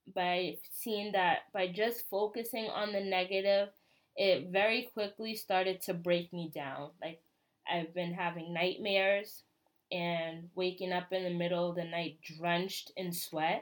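A woman with an American accent and a normal speaking voice talks at a fairly slow pace, medium in pitch, with fairly even intonation. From US. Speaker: podcast host. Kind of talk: personal monologue.

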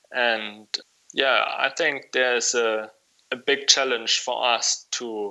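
A man with a German accent, medium pitch, monotone, flat intonation and a very slow pace. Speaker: wool clothing shop owner. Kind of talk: interview. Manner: halting, many fillers.

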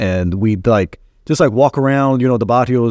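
Here a man talks with an American accent. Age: 40s. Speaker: filmmaker. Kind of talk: interview. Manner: halting, many fillers.

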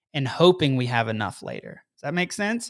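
A man speaks in a plain, everyday voice at a fairly high pitch and a moderate pace. The recording is very clean, with a silent background. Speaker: podcast host. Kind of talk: motivational monologue. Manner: upbeat.

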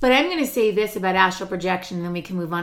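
A woman with a medium pitch speaks in a bright, sharp tone with lively intonation. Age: 50s. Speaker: podcast co-host. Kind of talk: casual chat.

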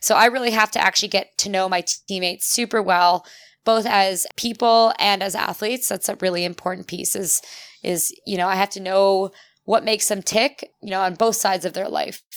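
A woman speaks in a normal speaking voice at a fairly quick pace, her medium pitch and fairly even intonation caught in a dry, close sound with no echo on a very clean recording with a silent background. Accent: Canadian. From Ontario, Canada. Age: 30s. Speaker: Olympic rower and cyclist. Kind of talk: casual interview.

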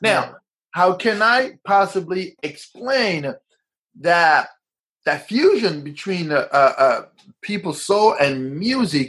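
This man speaks with a high pitch and very wide pitch swings. His pace is very slow. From Africa. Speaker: DJ. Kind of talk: casual interview chat. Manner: halting, many fillers.

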